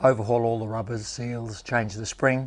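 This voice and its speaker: Over a quiet background, a man with an Australian accent speaks at a moderate pace in a medium pitch, his intonation flat and monotone. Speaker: motorcycle restoration YouTuber. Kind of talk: workshop tutorial. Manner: casual.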